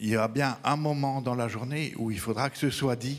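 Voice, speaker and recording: Using a Belgian accent, a man speaks at a moderate pace with fairly even intonation. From Belgium. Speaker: veterinarian, regional council member. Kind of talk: audience remark at round table.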